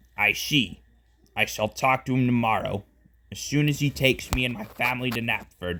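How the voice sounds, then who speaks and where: This is a put-on character voice with ordinary pitch variation. It keeps a moderate pace. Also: man, medium pitch for a man. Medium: read story. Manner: authoritative.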